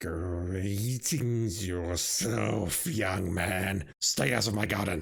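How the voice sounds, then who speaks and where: In a put-on character voice, a man growls out raspy words at a very deep, low pitch, very slowly and with hardly any pauses. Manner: gruff, stern, warning.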